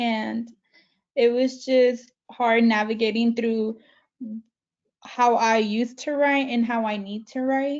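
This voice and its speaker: A woman speaks very slowly in a Spanish accent, leaving long, frequent pauses. Her fairly high voice keeps a monotone, flat intonation. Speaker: community college alumna. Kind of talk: panel interview.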